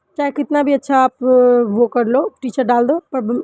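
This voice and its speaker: The recording of this high-pitched woman's voice is dry and close, with no echo. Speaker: vlogger, mother and housewife. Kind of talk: vlog voice-over. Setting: at home. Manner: halting, with pauses.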